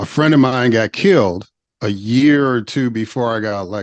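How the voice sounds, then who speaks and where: An ordinary speaking voice with an American accent, a moderate pace and ordinary pitch variation, recorded with a dry, close sound with no echo against a quiet background. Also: man. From US Midwest, Chicago. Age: 50s. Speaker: former state legislator. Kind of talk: interview.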